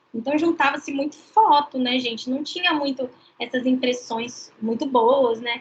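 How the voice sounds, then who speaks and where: A woman talks at a moderate pace. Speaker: law lecturer. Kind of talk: online lecture. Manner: casual, chatty.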